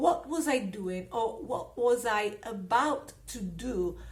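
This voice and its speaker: Her delivery is very slow. This woman carries a non-native accent. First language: not English. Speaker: personal growth YouTuber. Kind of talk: casual talk to camera.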